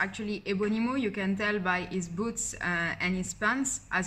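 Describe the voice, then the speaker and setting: A woman with a strong French accent, fairly even intonation and audible room echo. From France. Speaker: YouTuber, film fan commentator. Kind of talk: casual vlog theory breakdown. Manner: hesitant, many fillers.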